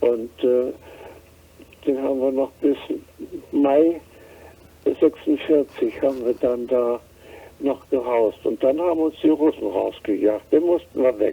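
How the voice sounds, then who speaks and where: Very slowly and with long, frequent pauses, a man talks at a fairly high pitch with ordinary pitch variation. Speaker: war refugee. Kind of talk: interview answer, personal recollection. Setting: phone line.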